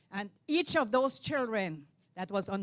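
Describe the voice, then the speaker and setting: A woman with a Caribbean accent at a moderate pace. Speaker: TV host and youth program founder. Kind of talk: speech to pageant contestants. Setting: ballroom event.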